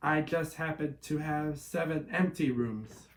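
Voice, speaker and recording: Growling in a put-on character voice, a man speaks fairly slowly at a fairly high pitch. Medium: read story. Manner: gruff.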